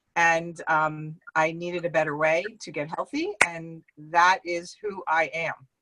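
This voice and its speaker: A woman with a New Jersey accent, fairly low pitch, bright, sharp tone, monotone, flat intonation, big swings in loudness, a fairly slow pace and hardly any pauses. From Central New Jersey. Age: 50s. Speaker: network marketing distributor. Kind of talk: online interview.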